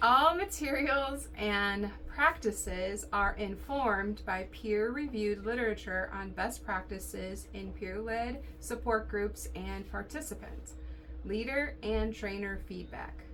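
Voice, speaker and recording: Set against clear background noise, a woman uses a robotic, put-on character voice at a fairly slow pace. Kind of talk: formal, reading written text. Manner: flat, robotic monotone.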